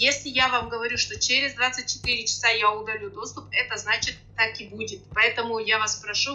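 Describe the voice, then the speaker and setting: A woman with a Kazakh accent speaks at a fairly quick pace over noticeable background noise. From Kazakhstan, rural Akmola region. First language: Kazakh (speaking Russian). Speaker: sales coach. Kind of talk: online webinar. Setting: online webinar.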